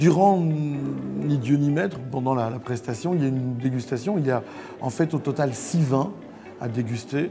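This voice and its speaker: A man of medium pitch talks with ordinary pitch variation, over music in the background and with audible room echo. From Belgium. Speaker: sommelier and stage performer. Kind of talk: promotional interview mixed with stage show excerpts. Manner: hesitant, with many fillers.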